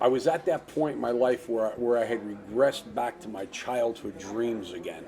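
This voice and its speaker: Over noticeable background noise, a man with a New Jersey accent talks at a moderate pace and medium pitch with lively intonation. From New Jersey, US (Hawthorne). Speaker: actor. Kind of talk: casual interview.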